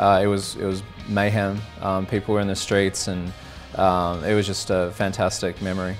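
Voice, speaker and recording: Over music in the background, a man with an Australian accent talks in a fairly low pitch with fairly even intonation. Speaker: college football fan. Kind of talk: interview answer. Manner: casual, hesitant.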